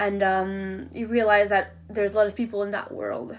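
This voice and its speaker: With a Quebec accent, a woman speaks at a medium pitch. Her pace is fairly quick and her intonation monotone and flat. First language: French. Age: 20s. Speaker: university student. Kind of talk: class presentation. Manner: halting, many fillers.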